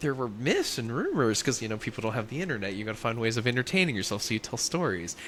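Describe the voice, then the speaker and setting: This man talks at a very fast pace with an American accent and hardly any pauses. His medium-pitched voice has lively intonation. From US South, Louisiana. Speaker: podcast co-host. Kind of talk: casual chat. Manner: loud.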